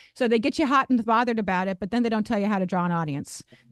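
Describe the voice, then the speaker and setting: Her pitch fairly high and ordinary in its variation, a woman speaks with an American accent in a dry, close sound with no echo. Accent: sounds Midwestern to locals. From Ohio, US Midwest. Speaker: singer and music educator. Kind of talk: casual interview chat.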